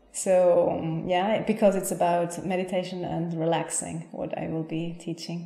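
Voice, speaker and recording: Noticeable background noise and audible room echo surround a woman with a fairly low pitch. She keeps a moderate pace and fairly even intonation. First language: Spanish. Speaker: yoga teacher. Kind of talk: interview.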